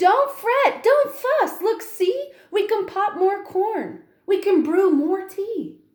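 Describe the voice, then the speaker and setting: Squeaky and extremely high-pitched, this put-on character voice moves at a very slow pace with hardly any pauses. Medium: read story.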